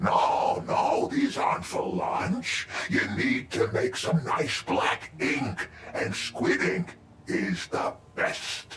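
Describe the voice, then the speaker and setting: At a very slow pace, a man puts on a character voice over light background noise. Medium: video game. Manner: jovial, instructive.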